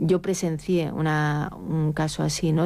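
A woman speaks low in pitch with vocal fry, a dark, mellow tone and fairly even intonation.

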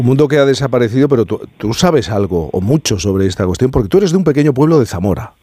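The voice swings widely in pitch, with a dark, mellow tone. It moves at a fast pace and carries a slightly husky edge. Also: man.

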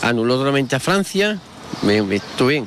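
Talking at a fairly quick pace, a man has a medium pitch, big pitch swings and a fairly bright tone.

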